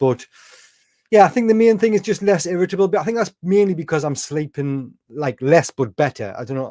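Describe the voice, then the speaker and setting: This man's voice has a dark, mellow tone and lively intonation. He talks at a fairly quick pace. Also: dry, close sound with no echo. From northeast England. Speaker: carnivore diet content creator. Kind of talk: casual livestream interview.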